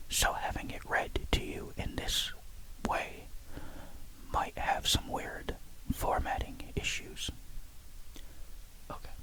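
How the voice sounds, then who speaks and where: Someone whispers in a calm tone at a very slow pace, with long, frequent pauses and noticeable background noise. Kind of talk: sleep story. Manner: whispered; calm, soft.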